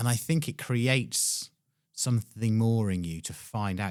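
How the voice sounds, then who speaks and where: A man's plain, everyday voice at a fairly slow pace, on a very clean recording with a silent background. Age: 40s. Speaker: podcast host. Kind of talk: casual interview conversation.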